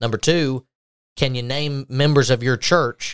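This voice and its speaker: A normal speaking voice with fairly even intonation in a very clean recording against a silent background. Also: man. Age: 20s. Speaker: podcast host, church minister. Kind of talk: casual religious discussion.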